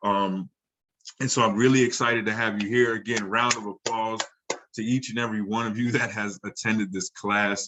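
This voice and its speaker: Fairly quick in pace, a man speaks in an animated tone at a medium pitch. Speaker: online marketing course instructor. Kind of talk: live webinar class. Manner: fast.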